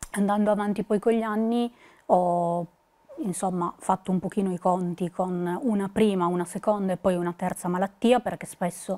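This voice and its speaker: This woman's voice has a dark, mellow tone and fairly even intonation. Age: 20s. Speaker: psychologist, patient association board member. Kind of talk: prepared talk to camera; testimony to camera. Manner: hesitant, many fillers. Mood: calm, earnest. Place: studio. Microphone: lapel.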